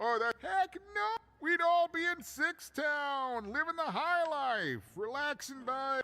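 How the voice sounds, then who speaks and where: A man speaks in a put-on character voice at an extremely high pitch. His pace is fairly slow. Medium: video game. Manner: rambling, warm.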